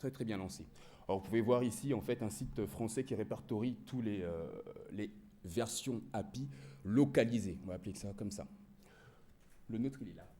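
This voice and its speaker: Vocal fry marks this man's dark, mellow, fairly low voice, which has long, frequent pauses and audible room echo. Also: ordinary pitch variation, moderate pace. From France. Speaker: digital marketing manager. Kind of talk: conference presentation.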